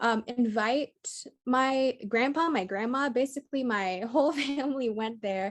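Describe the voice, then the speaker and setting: Her voice is high-pitched, and this woman speaks at a fairly slow pace with ordinary pitch variation in a dry, close recording with no echo. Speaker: university student. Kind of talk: class presentation. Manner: halting with many fillers.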